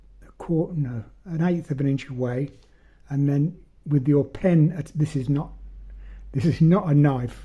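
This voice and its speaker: A man speaks at a fairly slow pace with long, frequent pauses. His somewhat breathy voice keeps fairly even intonation. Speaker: magic prop maker. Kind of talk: tutorial. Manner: halting.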